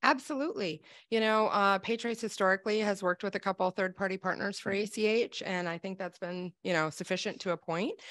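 A woman talks at a fairly quick pace with hardly any pauses and ordinary pitch variation. The background is quiet. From Wisconsin. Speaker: sales executive. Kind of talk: live webinar interview. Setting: video call. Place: office. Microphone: studio mic.

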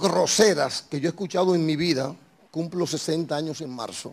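An animated man speaks at a moderate pace. His pitch is fairly high, with ordinary pitch variation. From Dominican Republic. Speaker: talk show host. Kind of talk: political interview; interview answer. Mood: indignant political criticism. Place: studio. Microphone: handheld.

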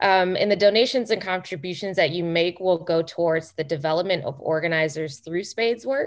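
A woman's fairly low voice at a fairly quick pace, with hardly any pauses, ordinary pitch variation and a quiet background. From Chicago. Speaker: political training director, co-host; co-host. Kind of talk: moderated discussion. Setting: video call. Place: home room. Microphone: video call.

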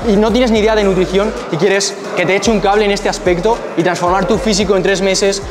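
A man's high pitch and fairly quick pace over clear background noise

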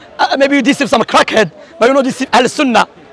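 Crowd noise runs in the background of a dry sound with no echo. A man speaks at an extremely high pitch with ordinary pitch variation. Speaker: Salafi preacher debating. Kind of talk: heated religious debate. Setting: outdoors public debate. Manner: emphatic, combative, rapid-fire. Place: open country. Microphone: lapel.

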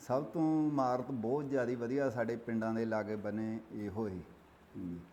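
Audible room echo carries a man's medium-pitched voice with a dark, mellow tone. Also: ordinary pitch variation. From Punjab, India. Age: 60s. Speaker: village elder. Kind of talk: interview. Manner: halting.

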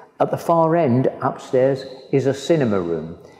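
A man talks at a fairly slow pace. Room echo is audible. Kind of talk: guided tour explanation. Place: hall.

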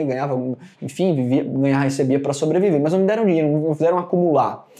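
A man's fairly high-pitched voice with a dark, mellow tone and a very fast pace over a quiet background. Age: 30s. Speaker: business executive; guest. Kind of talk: online lesson. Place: meeting room.

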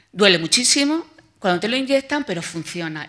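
The tone is bright and sharp, with lively intonation at a fairly quick pace. The background is quiet. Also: woman. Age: 50s. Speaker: patient advocate. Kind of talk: testimony. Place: hall. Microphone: podium.

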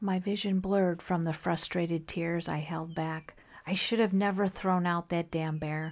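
In a normal speaking voice, a woman talks at a fairly slow pace and fairly low pitch with fairly even intonation, recorded very cleanly against a silent background. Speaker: whispered horror story narrator. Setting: studio with added sound effects like rain and eerie music.

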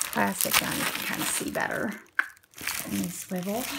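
A woman's voice amid noticeable background noise. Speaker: forearm crutch user with chronic illness. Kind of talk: casual unboxing talk to camera. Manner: upbeat, chatty.

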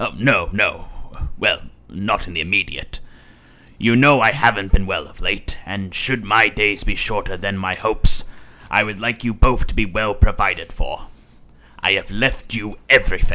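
A man is speaking at a moderate pace. His pitch sits in the medium range. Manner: warm, fatherly.

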